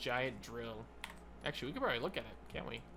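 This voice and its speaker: A man talks amid audible echo from the room. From United States. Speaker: gaming YouTuber. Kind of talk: casual gameplay commentary. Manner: casual, rambling with fillers.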